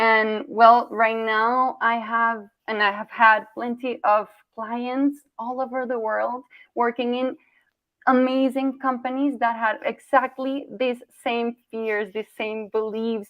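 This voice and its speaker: Very slowly, a woman speaks at a fairly high pitch. Her intonation is monotone and flat. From Colombia. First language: Spanish. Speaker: communication coach. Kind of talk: workshop presentation.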